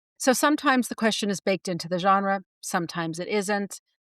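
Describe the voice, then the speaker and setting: A woman with a medium pitch is heard in a dry, close sound with no echo. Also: very clean recording, silent background. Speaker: podcast co-host, writing teacher. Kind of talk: casual chat. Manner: fast; many filler words.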